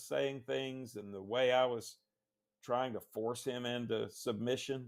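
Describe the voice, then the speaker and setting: In a very clean recording with a silent background, a man with a Southern US accent and medium pitch speaks at a fairly slow pace. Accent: Southern US (Georgia). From Northwest Georgia, US South. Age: 60s. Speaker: author and lawyer. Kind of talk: interview. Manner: halting, repeats words.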